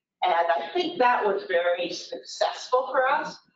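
Audible room echo hangs around the voice. The woman takes a fairly slow pace. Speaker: presenter. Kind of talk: lecture. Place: hall.

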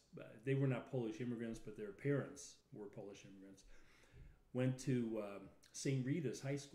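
Audible room echo surrounds a man's dark, mellow voice as he speaks at a moderate pace with ordinary pitch variation. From Chicago, North Side; Chicago. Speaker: lawyer, podcast co-host. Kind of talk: casual chat. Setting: live stream. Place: home room.

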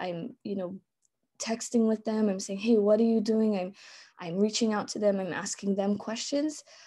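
A woman speaks in a Hawaiian accent. Her tone is dark and mellow, with ordinary pitch variation. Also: quiet background. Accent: Hawaii English. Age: 30s. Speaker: elementary school teacher. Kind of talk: conference presentation. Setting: video call. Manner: frequent fillers and repetitions. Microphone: webcam.

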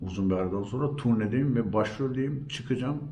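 Here is a man with an ordinary speaking voice and ordinary pitch variation. His pace is fairly slow. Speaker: storyteller and actor. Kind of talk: interview answer.

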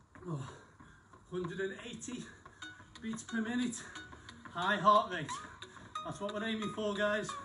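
A man talks at a fairly slow pace in a raised, projected voice with fairly even intonation. Faint music plays in the background. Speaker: fitness instructor. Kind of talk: live workout coaching. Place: garden. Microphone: camera far.

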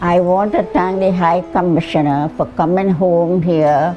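Faint music sits in the background. A woman speaks at a very slow pace with fairly even intonation. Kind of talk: interview answer. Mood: grateful, gentle. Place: home room.

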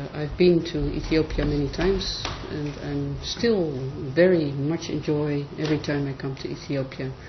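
A woman with a very deep, low voice and fairly even intonation. Noticeable background noise runs underneath. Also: moderate pace. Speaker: academic department head. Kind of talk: formal welcome and seminar chairing. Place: meeting room. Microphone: camera far.

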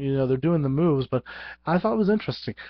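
A man is heard against a quiet background, the sound dry with no echo. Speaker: vlogger. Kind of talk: casual vlog chat. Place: home room. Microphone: headset.

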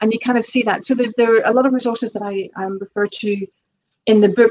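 Her intonation monotone and flat, a woman talks at a fairly high pitch. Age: 40s. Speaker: author; guest. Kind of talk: casual interview chat. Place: home room. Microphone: video call.

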